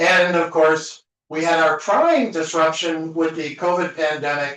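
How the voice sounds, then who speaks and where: This man has an ordinary speaking voice, fairly high in pitch. He talks at a fairly slow pace. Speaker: conference speaker. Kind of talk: conference talk.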